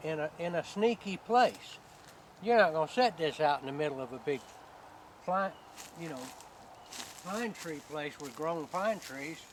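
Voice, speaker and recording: A high-pitched man with a Georgia accent speaks at a moderate pace with lively intonation, big swings in loudness and long, frequent pauses. Noticeable background noise runs underneath. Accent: US Southern (Georgia). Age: 70s. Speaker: hunter. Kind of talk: tutorial. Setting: outdoors.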